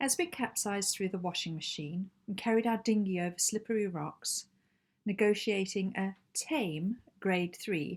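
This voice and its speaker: Woman at a medium pitch with a Zimbabwean accent, at a moderate pace. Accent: Zimbabwean accent noticeable. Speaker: amateur writer. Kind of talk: reading aloud own short story.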